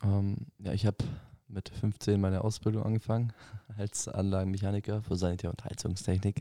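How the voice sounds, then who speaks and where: Dark, mellow tone with monotone, flat intonation, dry and close with no echo. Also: man, fairly low pitch for a man, fairly quick pace. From southern Germany, Ravensburg. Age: 20s. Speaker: plumbing and heating mechanic, mission school student. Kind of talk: casual chat.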